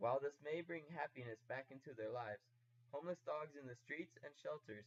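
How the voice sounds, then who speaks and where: A man with a somewhat breathy voice at medium pitch speaks at a fairly quick pace with ordinary pitch variation. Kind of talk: informational persuasive narration.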